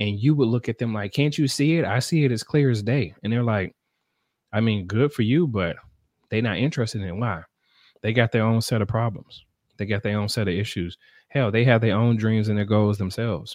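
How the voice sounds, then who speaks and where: In an ordinary speaking voice, a man talks at a fairly quick pace in a medium pitch against a quiet background. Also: ordinary pitch variation. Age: 30s. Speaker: live stream host and entrepreneur. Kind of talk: casual solo live stream chat. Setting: live stream at home.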